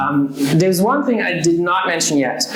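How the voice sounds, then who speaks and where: The speaker has a German accent. Noticeable background noise and audible room echo are present. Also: man. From Germany. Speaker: social media strategist. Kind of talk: presentation talk. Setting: meet-up audience, live stream. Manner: hesitant, many fillers and repetitions.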